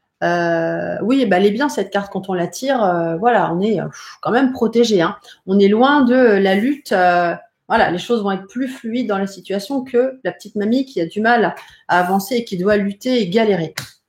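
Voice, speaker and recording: A woman at a medium pitch, moderate pace and ordinary pitch variation. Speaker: psychic and tarot teacher. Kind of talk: live-streamed tutorial. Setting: live stream from home.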